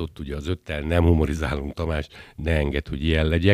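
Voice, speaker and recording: A man talks fairly quickly with a very deep, low pitch and vocal fry. The sound is dry and close with no echo, on a very clean recording with a silent background. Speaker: podcast host. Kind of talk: casual interview. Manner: chatty, jokey.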